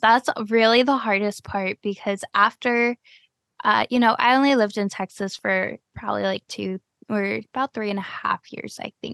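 In a dry, close sound with no echo and a quiet background, a woman speaks with an American accent in an unremarkable speaking voice. Her pitch is fairly high and her pace moderate. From US Midwest (Cleveland, Ohio). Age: 20s. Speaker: podcast host. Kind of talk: casual interview.

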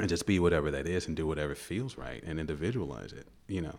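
A man's very deep, low voice with vocal fry, at a fairly quick pace with ordinary pitch variation. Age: 50s. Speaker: comedian. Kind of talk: casual chat.

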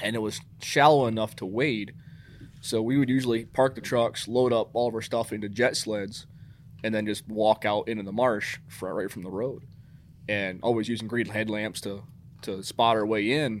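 A man with an American accent has a normal speaking voice at medium pitch, moving at a moderate pace with fairly even intonation. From New York State. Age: 30s. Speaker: hunter recruitment coordinator. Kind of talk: casual interview.

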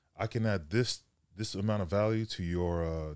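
In a very clean recording with a silent background, a man with an American accent speaks in a dark, mellow tone. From Sacramento, California. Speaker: strength coach and former football player. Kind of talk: casual chat.

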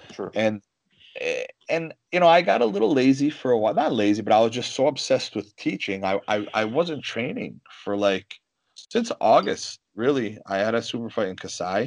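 Here is a man with a plain, everyday voice. His pitch is medium, and the background is quiet. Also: ordinary pitch variation, moderate pace. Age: 30s. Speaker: mixed martial arts fighter and grappler. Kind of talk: casual chat.

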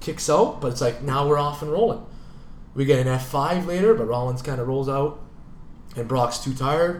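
Amid audible room echo, a man with a Canadian accent speaks in an animated tone. His pace is moderate and his pitch variation ordinary. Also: fairly high pitch for a man. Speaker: sports podcast co-host. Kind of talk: casual chat.

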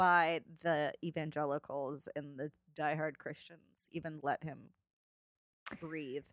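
Mumbling at a fairly slow pace, a woman has a bright, sharp tone. The sound is dry and close, with no echo. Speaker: podcast co-host. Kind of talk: casual chat.

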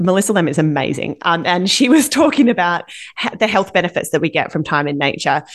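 A woman with an Australian accent and a fairly low pitch talks at a very fast pace. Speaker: parenting podcast co-host. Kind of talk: casual chat.

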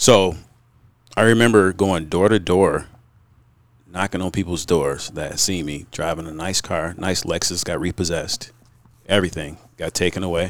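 A man's very deep, low voice with fairly even intonation, a moderate pace and long, frequent pauses. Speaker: business owner. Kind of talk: casual chat.

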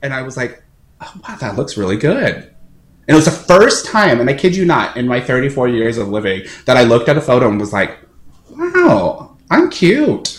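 A man speaks at medium pitch and a moderate pace with an American accent. His voice is somewhat breathy and his intonation lively. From American Samoa. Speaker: opera singer. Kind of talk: interview. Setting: video call. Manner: halting.

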